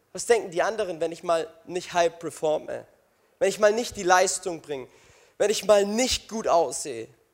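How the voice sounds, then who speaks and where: The man's voice is high, with ordinary pitch variation. He keeps a moderate pace, with big swings in loudness. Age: 20s. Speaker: youth pastor. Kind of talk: sermon. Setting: stage with audience. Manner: animated, energetic; interactive with the audience, exhortative.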